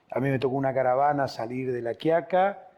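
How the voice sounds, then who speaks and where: A man's medium-pitched voice, dark and mellow in tone. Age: 60s. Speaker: political party leader. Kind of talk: political interview.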